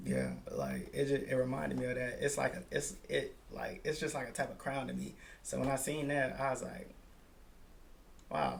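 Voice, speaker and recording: Amid audible room echo, a man speaks with long, frequent pauses. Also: moderate pace. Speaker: podcast host. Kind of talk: casual chat.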